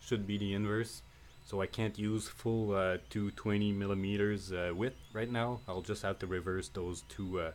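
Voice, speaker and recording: On a very clean recording with a silent background, a man speaks at a moderate pace. His voice is fairly low, with ordinary pitch variation. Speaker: 3D printing hobbyist. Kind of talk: unedited tutorial. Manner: halting, many fillers.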